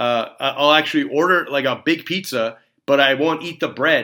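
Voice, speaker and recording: Heard on a very clean recording with a silent background, a man speaks at a moderate pace in a bright, sharp tone with lively intonation. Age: 40s. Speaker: dentist and podcast host. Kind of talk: solo podcast monologue. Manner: casual, filler-heavy.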